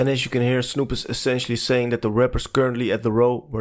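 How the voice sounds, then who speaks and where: A man with a non-native accent speaks very fast at medium pitch in a monotone, flat intonation. The recording is very clean with a silent background. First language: not English. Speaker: music documentary narrator. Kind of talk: documentary narration.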